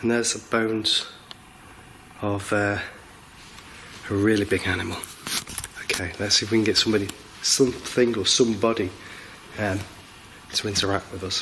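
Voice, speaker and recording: Speaking at a fairly quick pace with long, frequent pauses, a man talks in a monotone, flat way over noticeable background noise. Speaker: paranormal investigator. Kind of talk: live ghost-hunt commentary.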